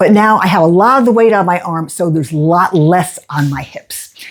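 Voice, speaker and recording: A woman speaks in a plain, everyday voice at a medium pitch, with ordinary pitch variation and a moderate pace. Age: 60s. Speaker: fitness instructor. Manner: encouraging.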